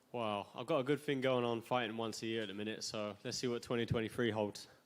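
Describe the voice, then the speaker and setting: A man with a Suffolk accent at a very fast pace, medium-pitched, with fairly even intonation. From England, Suffolk. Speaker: MMA fighter. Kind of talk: press conference answers. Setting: press conference. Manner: casual.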